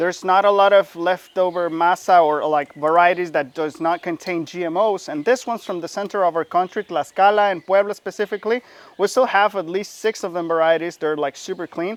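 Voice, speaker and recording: A man with a Mexican accent talks in a high pitch at a fairly quick pace with hardly any pauses, in a dry, close sound with no echo and a quiet background. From Mexico. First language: Spanish. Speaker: chef. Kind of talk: cooking demonstration. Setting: outdoors. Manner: animated.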